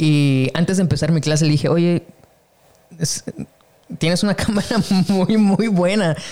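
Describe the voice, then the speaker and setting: Long, frequent pauses break up a man's fairly slow speech, pitched high with ordinary variation and very even loudness. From Mexico. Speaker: podcast host, photographer. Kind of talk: casual interview chat.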